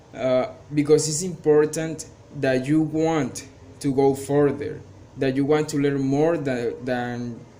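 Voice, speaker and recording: Amid noticeable background noise and audible room echo, a man with a fairly high pitch speaks very slowly in a monotone with flat intonation. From Colombia, Cartagena. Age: 20s. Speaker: English student and teacher. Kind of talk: class presentation. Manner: halting, many fillers.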